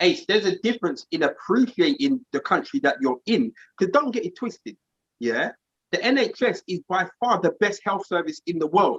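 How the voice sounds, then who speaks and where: With a London accent, a man speaks in a high pitch and an animated tone, his very wide pitch swings captured in a dry, close sound with no echo. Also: moderate pace. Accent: London accent, noticed abroad. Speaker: podcast co-host. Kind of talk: casual group discussion. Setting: live stream.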